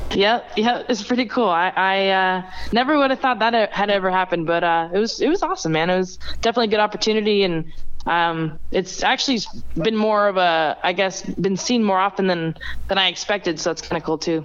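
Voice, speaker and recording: With an American accent and an ordinary speaking voice, a woman talks at a fairly quick pace at a medium pitch, using ordinary pitch variation and very even loudness. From Las Vegas, Nevada. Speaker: amateur racing driver. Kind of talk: casual interview.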